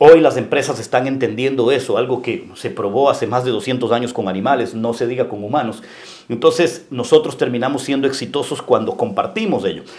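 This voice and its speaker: Speaking at a fairly quick pace, a man of medium pitch shows ordinary pitch variation. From Ecuador, coastal (Guayaquil). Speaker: local politician and businessman. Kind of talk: interview. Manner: halting.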